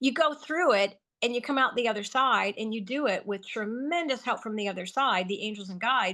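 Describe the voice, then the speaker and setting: With an American accent, a woman speaks in a high, bright, sharp voice against a quiet background. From US Midwest. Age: 70s. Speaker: healer and author. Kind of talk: interview. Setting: podcast interview.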